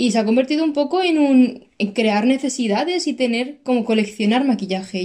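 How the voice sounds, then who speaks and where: A woman speaks in a high pitch with an animated tone and lively intonation. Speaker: podcast co-host. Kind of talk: casual chat. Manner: fast.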